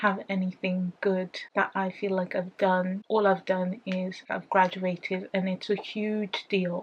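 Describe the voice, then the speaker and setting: Speaking very slowly, a woman keeps a flat, monotone intonation in a somewhat breathy voice. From United Kingdom. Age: 20s. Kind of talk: casual talk to camera.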